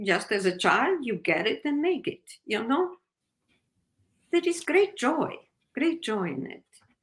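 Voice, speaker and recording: A raised, projected voice in an Italian accent, with very wide pitch swings. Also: woman. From Italy, Naples. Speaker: novelist. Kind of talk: interview.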